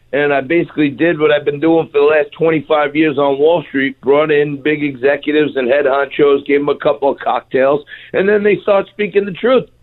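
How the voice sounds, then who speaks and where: With a New York accent, a man speaks at a fairly quick pace with hardly any pauses, a fairly high pitch, ordinary pitch variation, and very even loudness. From Staten Island, New York City. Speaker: TV host. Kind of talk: radio interview.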